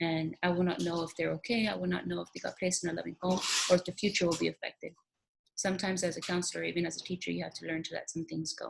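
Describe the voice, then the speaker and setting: A woman talks at a very fast pace. She has a Spanish accent. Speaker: teacher. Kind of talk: recorded application interview monologue. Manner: halting.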